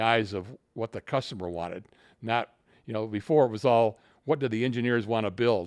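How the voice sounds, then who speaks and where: In a dry, close recording with no echo, a man speaks at a moderate pace and a medium pitch. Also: very clean recording, silent background. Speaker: retired company executive. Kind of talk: casual interview. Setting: at home.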